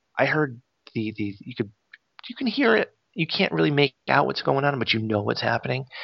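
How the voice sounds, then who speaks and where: At a moderate pace and medium pitch, a man speaks with ordinary pitch variation and long, frequent pauses. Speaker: podcast host. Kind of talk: casual chat. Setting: remote recording. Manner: animated.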